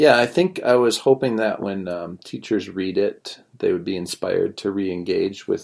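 In a very clean recording with a silent background, a man speaks at a moderate pace with a northern Midwest US accent. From northern Wisconsin, US. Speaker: math teacher, guest. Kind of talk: casual interview.

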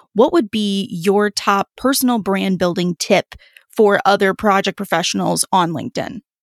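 Her voice is an ordinary speaking voice, a woman's at medium pitch with ordinary pitch variation. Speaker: podcast co-host. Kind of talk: interview.

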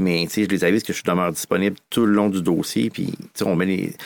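In a very clean recording with a silent background and a dry, close sound with no echo, a man speaks at a fairly low pitch. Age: 40s. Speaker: mortgage broker. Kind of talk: casual interview.

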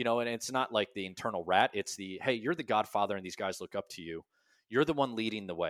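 In a very clean, dry recording with a silent background and no echo, a man speaks at a very fast pace. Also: medium pitch for a man, ordinary pitch variation, big swings in loudness. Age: 30s. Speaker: army veteran and business founder. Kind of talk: interview storytelling.

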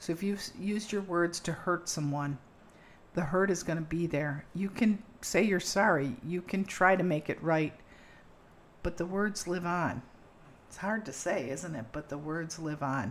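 An unremarkable speaking voice moves at a fairly slow pace with ordinary pitch variation. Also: woman, fairly low pitch for a woman. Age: 60s. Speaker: podcast host. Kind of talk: casual conversational podcast.

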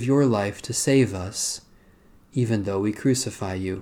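An unremarkable speaking voice moves at a fairly slow pace with ordinary pitch variation. The recording is very clean, the background silent. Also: man. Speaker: worship leader. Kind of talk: liturgical prayer service, reading aloud and fervent prayer. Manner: fervent, solemn, earnest, devotional; measured, formal liturgical cadence.

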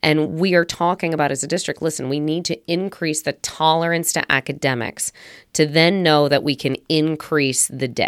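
A woman's very deep, low voice at a moderate pace, fairly even in intonation, in a dry, close sound with no echo on a very clean recording with a silent background. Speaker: attorney and podcast host. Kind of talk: conversational podcast discussion.

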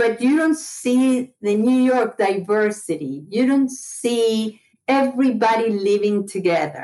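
Barely pausing, a woman with an Argentine accent talks in a fairly high, dark, mellow voice with lively intonation and very even loudness. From Buenos Aires, Argentina. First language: Spanish. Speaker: retired college administrator. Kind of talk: casual interview.

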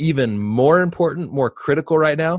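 The man speaks at a moderate pace with ordinary pitch variation. He has an ordinary speaking voice. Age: 30s. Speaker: parenting podcast host, father of twins. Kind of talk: casual chat.

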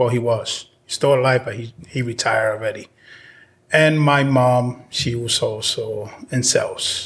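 Somewhat breathy, a man speaks at a fairly slow pace with fairly even intonation. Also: medium pitch for a man. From Dominican Republic. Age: 40s. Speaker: solar sales rep. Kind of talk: casual interview.

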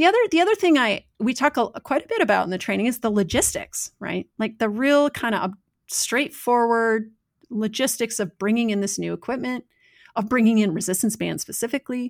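In a very clean recording with a silent background, the sound dry and close with no echo, a woman has an unremarkable speaking voice. Her fairly high pitch shows ordinary variation at a fairly quick pace. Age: 40s. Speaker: yoga teacher and strength coach. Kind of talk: casual interview.

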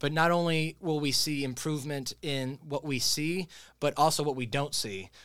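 In a very clean recording with a silent background, a man speaks in a fairly high voice with ordinary pitch variation. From Florida Panhandle, moved from upstate New York at ten. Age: young. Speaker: mayor. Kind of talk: interview. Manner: fast; animated.

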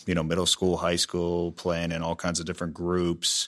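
On a very clean recording with a silent background, a man with an American accent speaks at a moderate pace in a very deep, low pitch with monotone, flat intonation. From Pittsburgh, Pennsylvania. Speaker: drum shop owner and musician. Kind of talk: interview. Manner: halting, many fillers.

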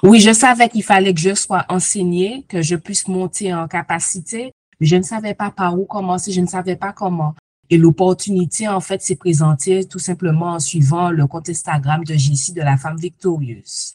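Moderate pace, somewhat breathy delivery and ordinary pitch variation, in a dry, close sound with no echo. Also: woman, fairly low pitch for a woman. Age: 40s. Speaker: coaching client giving testimony. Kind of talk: testimony.

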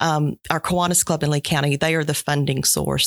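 The speaker talks at a fairly quick pace with a Georgia accent. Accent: Southern American (Georgia). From US South, southwest Georgia. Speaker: nonprofit director. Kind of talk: interview.

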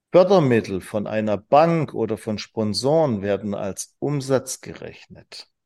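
On a very clean recording with a silent background, a man talks at a fairly slow pace and medium pitch, with lively intonation, big swings in loudness and hardly any pauses. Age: 40s. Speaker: business trainer and managing director. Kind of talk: casual interview. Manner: animated.

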